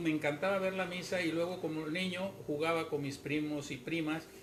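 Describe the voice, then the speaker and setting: Through noticeable background noise and audible room echo, a man with a fairly high voice talks at a moderate pace in a flat monotone. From Mexico, Yucatán (Mérida). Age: 80s+. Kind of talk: interview.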